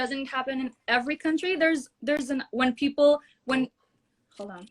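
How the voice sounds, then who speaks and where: A woman speaks in a high voice with an Israeli accent, at a moderate pace with ordinary pitch variation. The sound is dry and close, with no echo. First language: Hebrew. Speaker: singer and social media personality. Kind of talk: heated debate. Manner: halting.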